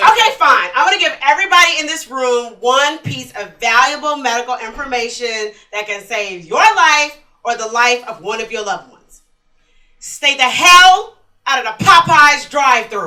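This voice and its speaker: A woman's raised, projected voice at a high pitch, with lively intonation, a moderate pace, big swings in loudness and audible room echo. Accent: American. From Texas, Houston. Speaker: stand-up comedian. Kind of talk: stand-up. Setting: stage with audience.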